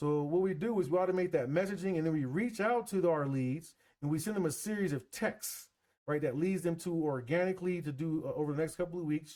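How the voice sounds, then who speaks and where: Here a man speaks at a very fast pace in a high pitch with ordinary pitch variation. His tone is dark and mellow. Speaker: business coach / AI marketing presenter. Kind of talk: live webinar presentation. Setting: live video stream with screen share. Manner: casual, conversational.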